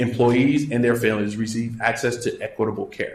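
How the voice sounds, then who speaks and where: With an American accent, a man speaks very fast in a somewhat breathy voice with fairly even intonation, and audible room echo surrounds him. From US South (Louisiana, Baton Rouge). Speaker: physician. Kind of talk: lecture.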